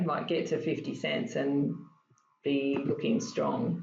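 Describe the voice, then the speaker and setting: In an Australian accent, a woman with a very deep, low pitch speaks at a fairly slow pace with ordinary pitch variation, and the room echo is audible. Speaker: stock trading educator. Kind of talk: casual chat.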